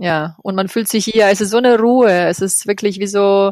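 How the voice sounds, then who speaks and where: A woman's medium-pitched voice at a moderate pace, with fairly even intonation, in a very clean recording over a silent background. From Croatia. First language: Croatian (speaking German). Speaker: yoga project organizer. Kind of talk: interview. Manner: halting.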